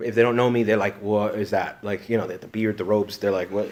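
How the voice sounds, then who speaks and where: Noticeable background noise sits behind a man speaking in an animated tone. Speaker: priest and retreat leader. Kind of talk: retreat conference talk. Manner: fast.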